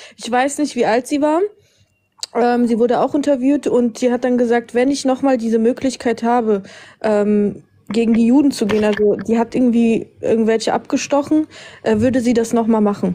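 At a moderate pace, a woman talks in a high pitch. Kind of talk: heated debate. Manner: insistent.

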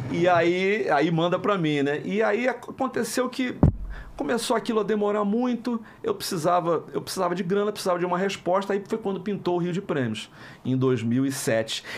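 The speaker is a man with lively intonation. His pace is moderate. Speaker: voice actor. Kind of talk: interview answer. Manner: casual, anecdotal. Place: studio. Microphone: studio mic.

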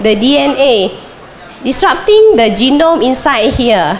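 Noticeable background noise sits behind a woman with a high pitch. She talks at a very slow pace with very wide pitch swings. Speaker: plant disease researcher. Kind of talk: conference talk. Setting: stage with audience. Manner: halting, many fillers.

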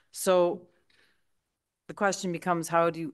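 This woman has a very deep, low pitch and a Canadian accent. The background is quiet. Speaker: town councillor. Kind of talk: council debate. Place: hall. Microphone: podium.

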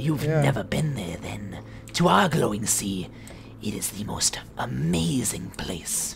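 A put-on character voice is pitched low and moves at a fairly slow pace. Light background noise is present. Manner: erratic, rambling, creepy.

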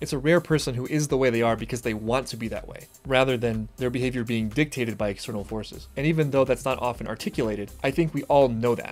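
The man's words come very fast. Music plays faintly behind him. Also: ordinary pitch variation. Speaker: reaction video host. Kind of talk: reaction commentary. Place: home room.

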